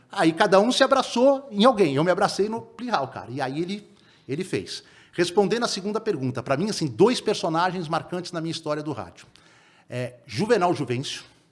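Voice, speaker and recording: Fairly quickly, a man speaks at a high pitch with very wide pitch swings. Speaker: sports reporter. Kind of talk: podcast interview. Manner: fast.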